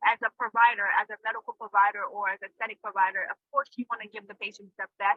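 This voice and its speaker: A woman talks very fast, her voice set at a fairly high pitch. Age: 20s. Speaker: aesthetic nurse. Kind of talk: interview.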